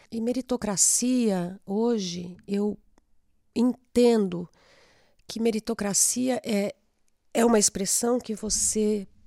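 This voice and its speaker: A woman speaks in a dark, mellow tone at a medium pitch. Her pitch varies in an ordinary way. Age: 60s. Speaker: law firm partner, moderator. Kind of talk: panel discussion. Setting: videocast.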